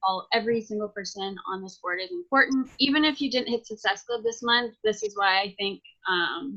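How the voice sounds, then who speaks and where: A woman with a plain, everyday voice talks at a moderate pace in a fairly high pitch, with ordinary pitch variation. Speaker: fitness coach team leader. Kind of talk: team video call presentation. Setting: video call with screen share. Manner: many filler ums.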